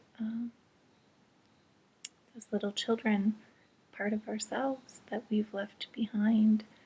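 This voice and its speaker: A soft-spoken, somewhat breathy woman with a dark, mellow tone, fairly high pitch and a very slow pace. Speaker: intuitive reader. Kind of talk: spiritual reading talk to camera. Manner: quiet, soft-spoken.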